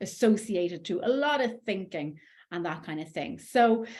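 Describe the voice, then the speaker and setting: With an Irish accent, a woman speaks in lively intonation. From Ireland. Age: 40s. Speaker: life coach. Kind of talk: coaching talk.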